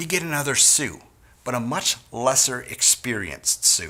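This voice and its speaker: A man talks with an American accent and vocal fry. His tone is bright and sharp. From US Midwest, Wisconsin. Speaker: sales trainer. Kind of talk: training talk.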